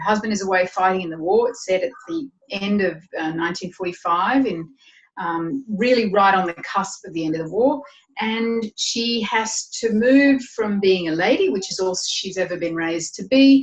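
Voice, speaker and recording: Lively intonation runs through a woman's medium-pitched voice in an Australian accent. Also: moderate pace. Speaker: novelist. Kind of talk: interview.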